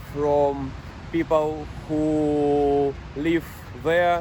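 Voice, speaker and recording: The speaker has a non-native accent and a monotone, flat intonation. Noticeable background noise runs underneath. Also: man. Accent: non-native English, imperfect pronunciation. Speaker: truck driver. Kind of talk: personal vlog monologue. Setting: parked truck in France. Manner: halting, many fillers.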